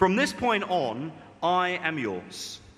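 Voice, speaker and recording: A man speaks very slowly in a high pitch with a bright, sharp tone. The room echo is audible. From Britain. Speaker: preacher. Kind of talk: sermon.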